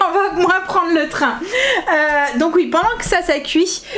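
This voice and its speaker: Noticeable background noise behind a woman talking at a moderate speed. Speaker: family vlogger, mother. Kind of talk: cooking vlog tutorial.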